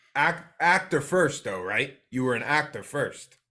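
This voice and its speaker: The tone is bright and sharp, the pace fairly slow, and the recording very clean against a silent background. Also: man. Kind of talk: podcast conversation.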